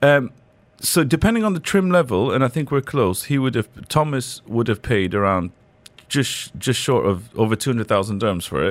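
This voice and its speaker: In a normal speaking voice of medium pitch, a man talks at a moderate pace with lively intonation. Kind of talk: call-in advice on a radio show. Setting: studio. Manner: warm, chatty.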